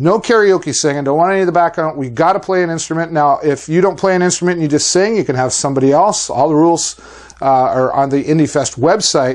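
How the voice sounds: Talking at a fast pace, a man uses a fairly high pitch. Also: ordinary pitch variation.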